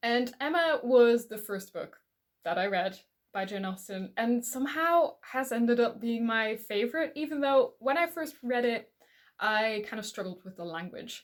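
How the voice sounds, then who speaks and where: On a very clean recording with a silent background, a fairly high-pitched woman speaks at a moderate pace with lively intonation and big swings in loudness. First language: not English. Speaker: book reviewer. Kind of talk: casual vlog talk. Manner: hesitant, with repetitions.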